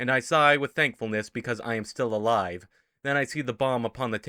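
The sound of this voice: Reading aloud in an unforced reading voice, the speaker uses ordinary pitch variation against a quiet background.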